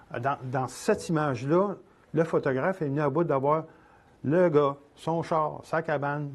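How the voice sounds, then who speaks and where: Speaking at a moderate pace, a man uses a fairly high pitch with fairly even intonation. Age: 60s. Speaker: photographer and instructor. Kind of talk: lecture. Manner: halting.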